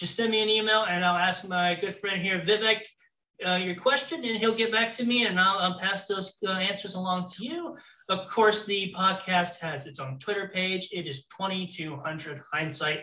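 Speaking in a raised, projected voice with an American accent, a man keeps a moderate pace, a high pitch and ordinary pitch variation. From Florida. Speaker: podcast host. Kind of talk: casual chat.

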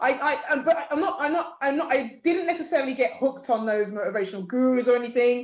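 A woman talks at a fairly quick pace with hardly any pauses, her high pitch carried in lively intonation. Noticeable background noise is present. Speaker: PR agency founder and mentor. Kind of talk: interview.

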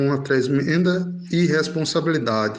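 A man's fairly high-pitched voice at a fairly slow pace, with ordinary pitch variation and audible room echo. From Belo Horizonte, then Brazilian Northeast sertão from age 12. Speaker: writer. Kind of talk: interview. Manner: halting.

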